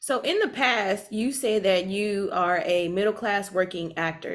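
This woman has a normal speaking voice, pitched fairly high. She talks at a fairly slow pace. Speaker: podcast co-host. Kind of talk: casual interview. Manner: laughs often.

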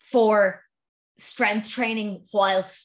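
A woman speaks with an Irish accent. Her delivery is very slow, with monotone, flat intonation. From Ireland. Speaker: running podcast host. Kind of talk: solo Q and A podcast. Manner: casual, laughing often.

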